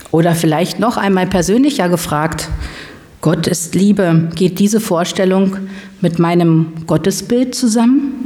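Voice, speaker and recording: Lively intonation and very even loudness mark a woman speaking at a fairly slow pace. Audible room echo and noticeable background noise are present. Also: medium pitch for a woman. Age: 50s. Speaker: lay preacher. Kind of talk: sermon.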